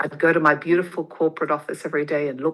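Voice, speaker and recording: Over a quiet background, a woman with an Australian accent talks at a very fast pace in a fairly low pitch with a bright, sharp tone. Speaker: motivational speaker and podcaster. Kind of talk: interview, personal story.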